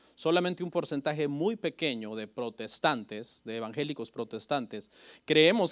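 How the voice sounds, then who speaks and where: A man speaks at a moderate pace with ordinary pitch variation in a very clean recording with a silent background. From Mexico (Oaxaca family, raised in State of Mexico). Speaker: pastor. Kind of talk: sermon. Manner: halting, with frequent self-corrections.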